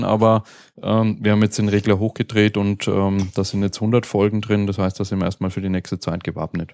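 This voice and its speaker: A man with a slight Franconian accent speaks quickly enough, in a fairly low, dark and mellow voice with monotone, flat intonation, recorded dry and close with no echo against a quiet background. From Franconia, Germany. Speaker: podcast host. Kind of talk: casual chat. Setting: live recording at a conference.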